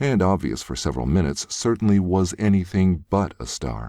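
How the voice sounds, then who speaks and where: A man at a fairly quick pace, with vocal fry. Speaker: voice actor. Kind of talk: audiobook narration. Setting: home studio.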